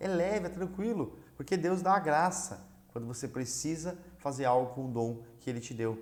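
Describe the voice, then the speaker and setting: Audible room echo surrounds a man speaking in a fairly high pitch with ordinary pitch variation. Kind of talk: religious teaching lesson. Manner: fast.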